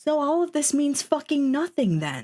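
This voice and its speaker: On a very clean recording with a silent background, a woman speaks very slowly in a high pitch with a dark, mellow tone. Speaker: streamer. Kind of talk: casual chat. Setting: live stream.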